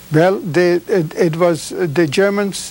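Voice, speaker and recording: A high-pitched man at a very slow pace, fairly even intonation, noticeable background noise behind him. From Czechoslovakia. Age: 70s. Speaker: Holocaust survivor. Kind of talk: testimony. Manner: halting.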